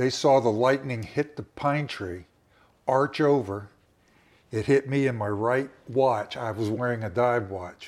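In an unremarkable speaking voice, a man with a medium pitch talks at a fairly slow pace with ordinary pitch variation. The recording is very clean, with a silent background. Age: 60s. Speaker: survivor telling his story. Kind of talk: personal interview storytelling. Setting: recorded conversation in a home.

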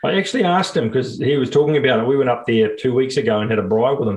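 With a New Zealand accent, a man speaks in a somewhat breathy voice and lively intonation. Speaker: podcast co-host. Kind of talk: casual chat.

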